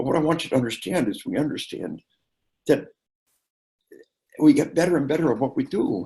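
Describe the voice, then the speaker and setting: A man with an American accent talks at a fairly quick pace, his fairly high pitch making very wide swings over a dark, mellow tone with vocal fry. Long pauses come often. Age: 60s. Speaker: military psychology lecturer and trainer. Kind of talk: interview talk, lecture-like. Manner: animated, emphatic; repeats words, hesitations.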